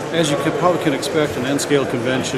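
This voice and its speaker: Loud background noise dominates the clip. Through it, a man talks. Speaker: hobby vlogger. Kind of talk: casual vlog chat. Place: hall. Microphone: phone near.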